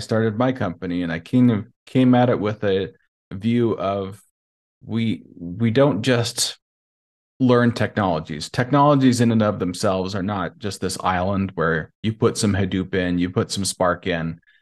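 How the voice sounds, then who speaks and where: A man with an American accent speaks at a fairly slow pace and fairly low pitch. His pitch variation is ordinary against a quiet background. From Montana, US. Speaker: data engineering consultant and trainer. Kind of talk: interview.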